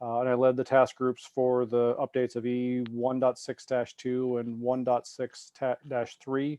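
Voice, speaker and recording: Monotone, flat intonation from a medium-pitched man with an American accent and hardly any pauses. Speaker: rigging industry expert. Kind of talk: remote seminar presentation. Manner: fast.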